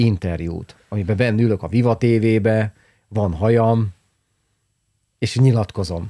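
A man with a dark, mellow tone and fairly low pitch is heard in a dry, close sound with no echo on a very clean recording with a silent background. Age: 50s. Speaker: podcast host, business consultant. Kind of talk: casual chat.

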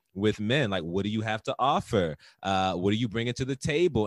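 On a very clean recording with a silent background and a dry, close sound with no echo, a man with a fairly low pitch uses a normal speaking voice at a fairly quick pace. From US Mid-Atlantic, Baltimore and DC area. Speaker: podcast co-host. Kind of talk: casual chat.

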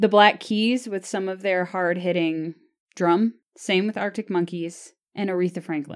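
A woman with an American accent speaks in a normal speaking voice at medium pitch. Her pace is fairly slow, her intonation fairly even, and the recording very clean with a silent background. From US South. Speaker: podcast host. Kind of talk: casual banter, music review chat.

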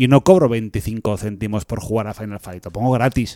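A normal speaking voice from a man at medium pitch and moderate pace, with ordinary pitch variation and a dry, close sound with no echo. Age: 40s. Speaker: podcast co-host. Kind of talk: casual chat.

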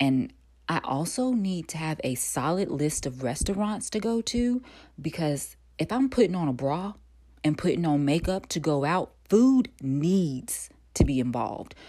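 A woman with an American accent speaks in a relaxed, dark, mellow tone at a fairly low pitch, her voice making very wide pitch swings at a fairly slow pace on a very clean recording with a silent background. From North Carolina. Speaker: actor and podcast host. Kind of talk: casual solo monologue. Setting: home recording.

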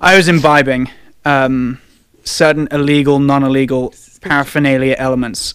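With an English accent, a man speaks at a moderate pace in a fairly high pitch, his intonation monotone and flat. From England. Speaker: sports podcast host. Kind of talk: casual banter.

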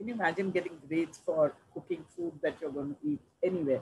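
Her voice is fairly low for a woman and somewhat breathy, with lively intonation. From India, Delhi, Punjabi family. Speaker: social sector leader, nonprofit executive director. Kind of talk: interview, career story.

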